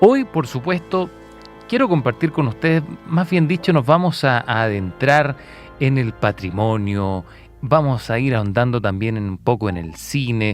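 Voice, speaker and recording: A man at medium pitch with very wide pitch swings, speaking at a fairly slow pace over music in the background. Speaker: radio host. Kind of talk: radio show opening.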